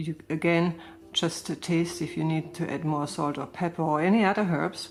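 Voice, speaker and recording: A woman's very deep, low voice with vocal fry, at a moderate pace and with fairly even intonation. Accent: German. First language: German. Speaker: gardening and crafts vlogger. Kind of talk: casual reading and explaining recipes. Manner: halting, searching for words.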